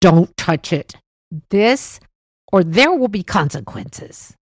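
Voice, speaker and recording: Putting on a character voice, a woman talks at a fairly slow pace at a medium pitch. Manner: stern, warning.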